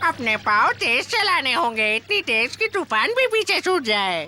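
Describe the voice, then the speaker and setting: A put-on character voice with very wide pitch swings, delivered at a fairly slow pace. Background noise is clearly audible. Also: female-sounding voice, high pitch for a woman. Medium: fan dub. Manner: playful, teasing, laughs often.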